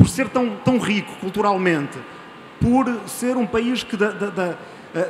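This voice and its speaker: A man speaks at a moderate pace in a European Portuguese accent, with a high pitch and ordinary pitch variation. Noticeable background noise is present. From Portugal. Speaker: audience member. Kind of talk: audience comment at panel debate. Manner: halting, repeats words.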